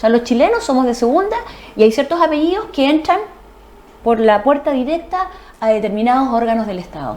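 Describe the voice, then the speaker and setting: A woman speaks at a fairly quick pace with a high pitch and very wide pitch swings. She takes long, frequent pauses. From Chile, Ancud (Chiloé). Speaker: lawyer. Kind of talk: TV interview.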